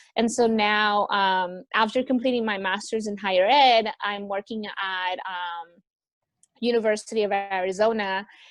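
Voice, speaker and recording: Against a quiet background, a plain, everyday voice with an American accent speaks at a fairly slow pace. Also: woman, medium pitch for a woman. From US West Coast, Los Angeles. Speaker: returned volunteer, university administrator. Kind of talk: interview. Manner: casual, many fillers (like, um).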